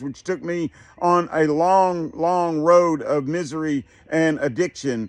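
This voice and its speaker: This is a man with a high pitch. His pitch variation is ordinary. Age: 60s. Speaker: therapist and podcast host. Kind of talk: personal testimony in a self-help talk. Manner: hesitant, many filler words.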